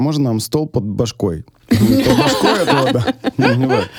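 It is a plain, everyday voice with lively intonation. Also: man. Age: 30s. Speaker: restaurateur and chef. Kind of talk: casual chat. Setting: studio. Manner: casual, filler-heavy speech.

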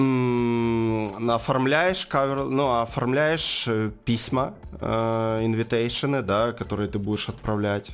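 Very slow speech from a man at medium pitch, with ordinary pitch variation and noticeable background noise. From Ukraine, Donetsk. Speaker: marketing agency co-owner. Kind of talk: casual interview. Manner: hesitant, many fillers.

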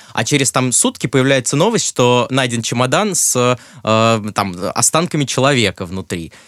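A man with an unremarkable speaking voice at a medium pitch, lively intonation, a moderate pace, and dry, close sound with no echo. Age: 20s. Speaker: film journalist and screenwriter. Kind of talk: casual chat.

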